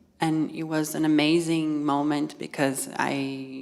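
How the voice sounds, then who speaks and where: In a Portuguese accent, a woman speaks with a very deep, low pitch and monotone, flat intonation. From Brazil. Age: 30s. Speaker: fashion stylist. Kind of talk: public talk. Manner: halting.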